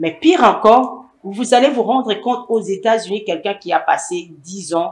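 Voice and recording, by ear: A woman speaks at a moderate pace, her tone slightly mellow with a slightly husky edge.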